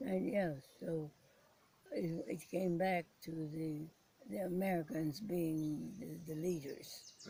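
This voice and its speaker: With long, frequent pauses, a woman of fairly low pitch speaks at a very slow pace and with ordinary pitch variation. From Philippines. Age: 80s+. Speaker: war survivor, former prisoner of war. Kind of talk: interview answer.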